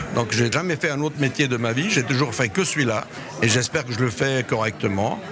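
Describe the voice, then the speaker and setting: At a fairly quick pace, a man talks through noticeable background noise. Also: medium pitch for a man, ordinary pitch variation. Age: 60s. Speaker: retired luxury hotelier and author. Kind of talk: interview. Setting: at a lunch reception. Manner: voluble.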